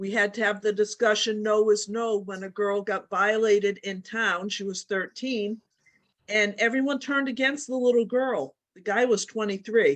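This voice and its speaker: A plain, everyday voice, a woman's, fairly high in pitch with ordinary pitch variation. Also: moderate pace. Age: 60s. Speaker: participant asking a question. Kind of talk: casual chat.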